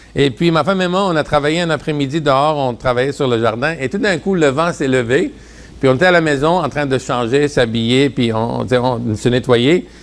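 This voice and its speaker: In an unremarkable speaking voice, a man talks at a moderate pace, his fairly high pitch showing ordinary variation. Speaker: preacher. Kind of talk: sermon.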